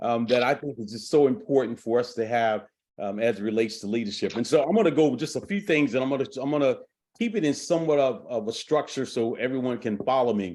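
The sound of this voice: Fast-paced, a man talks with ordinary pitch variation. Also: medium pitch for a man, slightly mellow tone.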